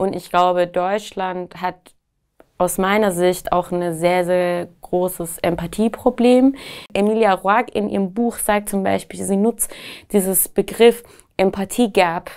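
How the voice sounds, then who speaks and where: A woman speaks at a very slow pace against a quiet background. Her intonation stays fairly even. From Iran, Tehran. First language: Persian (speaking German). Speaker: activist and writer. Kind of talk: interview answers. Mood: earnest, engaged. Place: studio.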